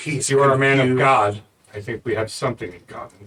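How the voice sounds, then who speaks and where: Using a resonant put-on character voice, a man speaks at a medium pitch and a fairly quick pace. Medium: actual play. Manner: terse, earnest.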